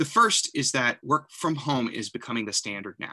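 A man talks at a moderate pace with lively intonation and a bright, sharp tone. The background is quiet. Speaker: presenter. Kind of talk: presentation. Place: home room. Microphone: webcam.

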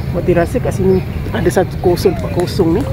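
A woman speaks over clear music in the background. The sound is dry, with no echo. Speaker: vlogger. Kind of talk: casual vlog chat. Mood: relaxed, cheerful. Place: open country. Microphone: phone near.

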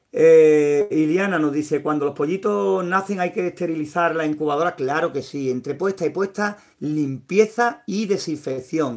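A man with a fairly high pitch and lively intonation speaks at a fairly slow pace. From Andalusia, Spain (Sevilla). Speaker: YouTuber, homemade incubator builder. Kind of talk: live stream with viewer chat. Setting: at home. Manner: hesitant, frequent fillers.

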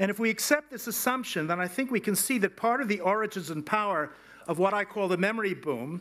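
A man talks at a very fast pace. His pitch is high, with ordinary variation. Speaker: invited lecturer. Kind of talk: lecture. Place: hall. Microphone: podium.

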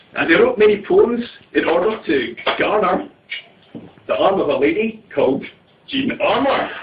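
A man talks at a fairly slow pace. Noticeable background noise runs beneath him. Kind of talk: comic poetry reading with chat to a live audience. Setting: live event in a tea room.

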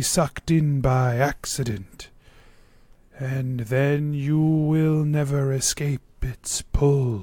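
At a very slow pace, a man does a put-on character voice with a fairly high pitch. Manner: slow, welcoming, grandfatherly, ominous when warning.

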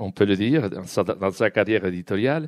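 A man's fairly low-pitched voice in a dry, close sound with no echo. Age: 50s. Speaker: publisher and event moderator. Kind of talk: moderated interview at a book event. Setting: bookshop event with live audience. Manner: halting.

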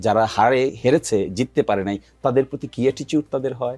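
An unremarkable speaking voice from a man at medium pitch, with a dry, close sound and no echo. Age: 40s. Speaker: political commentator. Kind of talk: heated debate. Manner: argumentative.

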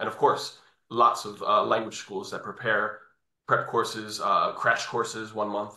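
With a New York accent, a man is speaking. His pace is fairly slow. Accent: New York American. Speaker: English test training coordinator. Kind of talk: webinar presentation. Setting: video call.

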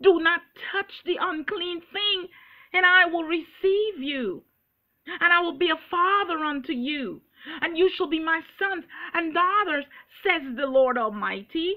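Over a quiet background, a woman with an extremely high pitch speaks at a fairly slow pace with ordinary pitch variation. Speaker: preacher. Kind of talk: sermon. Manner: earnest, preaching with urgent exhortation; quoting scripture verse by verse, emphatic. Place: home room. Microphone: webcam.

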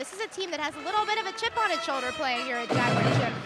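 Music plays in the background as a woman projects a raised voice with an energetic tone and very wide pitch swings. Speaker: sports reporter. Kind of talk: sideline sports report. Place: hall. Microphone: handheld.

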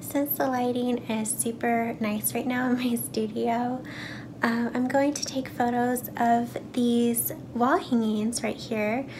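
Against noticeable background noise, a woman speaks very slowly with fairly even intonation. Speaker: artist vlogger. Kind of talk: casual vlog chat. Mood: cheerful, laughing. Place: home room. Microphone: phone near.

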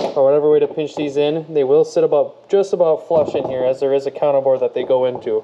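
A man's medium-pitched voice at a fairly quick pace, with faint background noise. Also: slightly mellow tone.

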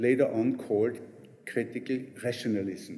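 Ordinary pitch variation runs through this man's speech. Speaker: university lecturer. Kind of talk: lecture. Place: classroom.

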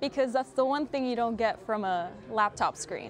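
Lively intonation comes through over light background noise. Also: woman. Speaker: university student. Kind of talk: casual interview. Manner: enthusiastic. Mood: warm, smiling. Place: studio.

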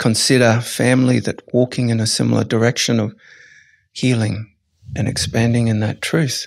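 A man's words come at a moderate pace with fairly even intonation, and the background is quiet. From Australia. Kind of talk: podcast interview answer; interview answer. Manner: reflective, with pauses. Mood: calm, reflective. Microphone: studio mic.

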